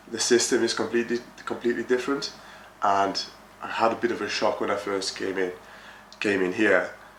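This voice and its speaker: Noticeable background noise throughout, with long, frequent pauses in the speech. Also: man, medium pitch for a man, fairly even intonation, fairly quick pace. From France. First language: French. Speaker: project manager in construction. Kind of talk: interview. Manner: hesitant, many fillers.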